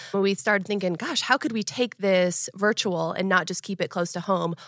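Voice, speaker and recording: A woman speaks at a fairly quick pace in a bright, sharp tone with a medium pitch and fairly even intonation. The recording is very clean, dry and close, with a silent background and no echo. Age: 30s. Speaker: running coach. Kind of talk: interview. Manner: outgoing.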